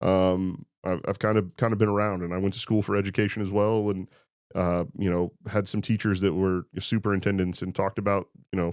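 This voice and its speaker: With a Midwestern US accent, a man talks at a fairly quick pace and fairly low pitch, his intonation monotone and flat, in a very clean recording with a silent background. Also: dry, close sound with no echo. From Indiana, Clinton County. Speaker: high school football coach. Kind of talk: casual interview.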